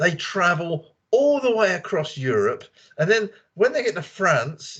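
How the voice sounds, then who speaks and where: A man speaks with a London accent. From England, London. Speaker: native English speaker in a conversation club. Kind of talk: casual group chat. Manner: animated.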